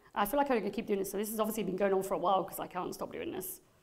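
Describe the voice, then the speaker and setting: Audible room echo surrounds a woman speaking in an animated tone at a medium pitch with ordinary pitch variation. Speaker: psychic medium. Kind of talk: live gallery reading. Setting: stage with audience.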